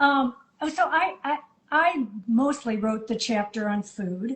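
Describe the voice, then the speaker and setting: A woman with an ordinary speaking voice talks with ordinary pitch variation. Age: 50s. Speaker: midlife coach and co-author. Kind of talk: casual interview chat.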